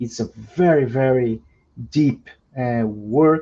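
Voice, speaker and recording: Speaking in a Portuguese accent, a man uses a medium pitch. His pace is very slow. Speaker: law professor and translator. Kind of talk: introductory remarks at academic webinar. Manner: halting, many repetitions and fillers.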